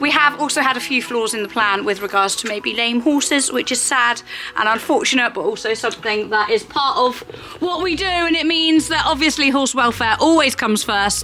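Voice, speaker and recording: Amid light background noise, a woman speaks at a fairly quick pace and high pitch, with lively intonation. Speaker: horse vlogger. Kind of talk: casual vlog chat. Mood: cheerful, playful. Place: farm machine. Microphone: phone near.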